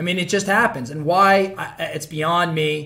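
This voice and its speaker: A man talks at a moderate pace with a high pitch. His tone is bright and sharp, with ordinary pitch variation. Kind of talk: promotional talk to camera. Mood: upbeat, joking. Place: office. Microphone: phone near.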